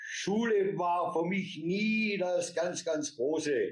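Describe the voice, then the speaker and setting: A man speaks with a fairly high pitch. It is a normal speaking voice with ordinary pitch variation. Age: 60s. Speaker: company founder and author. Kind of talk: interview.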